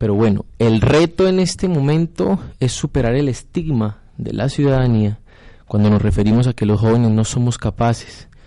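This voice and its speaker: A man speaks at a moderate pace with a dark, mellow tone and medium pitch. His intonation is lively. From Colombia, Floridablanca (Santander). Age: 20s. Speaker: council candidate. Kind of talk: radio panel discussion.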